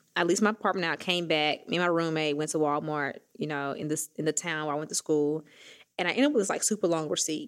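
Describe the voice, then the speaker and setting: A woman's very deep, low voice in a Southern US accent, very fast in pace with fairly even intonation, on a very clean recording with a silent background. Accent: Southern US, country. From Mississippi, US South. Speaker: fintech founder and CEO. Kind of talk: casual interview chat. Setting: studio.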